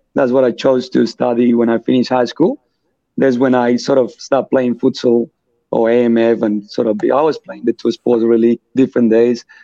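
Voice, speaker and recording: A man with a Colombian accent and a dark, mellow tone speaks at a moderate pace with medium pitch and fairly even intonation. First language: Spanish. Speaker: futsal club vice president and player. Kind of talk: podcast interview.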